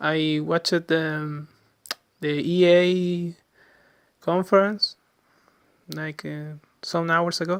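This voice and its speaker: A man with a Chilean Spanish accent talks very slowly in a high, monotone, flat voice. His loudness swings widely, and he leaves long, frequent pauses. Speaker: gaming podcaster. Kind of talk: casual monologue podcast. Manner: halting, many fillers and restarts.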